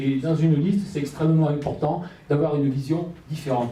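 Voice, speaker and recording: Man with a southwestern French accent, fairly high pitch and fairly even intonation, at a moderate pace with audible room echo. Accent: southwestern French, kept. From Gironde, southwest France. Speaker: local election candidate. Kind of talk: public speech. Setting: public meeting with audience. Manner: halting, many fillers.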